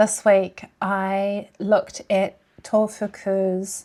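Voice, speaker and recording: Speaking at a medium pitch, a woman talks with a New Zealand accent. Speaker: language learning vlogger. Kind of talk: vlog talk to camera. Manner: casual.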